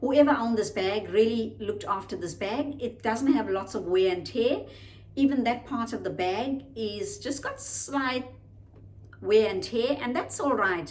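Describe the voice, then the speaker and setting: In a room with audible echo, a woman speaks fairly slowly at a fairly high pitch, with vocal fry. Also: ordinary pitch variation. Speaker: lifestyle vlogger. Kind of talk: unboxing video, casual product review. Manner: slow, deliberate.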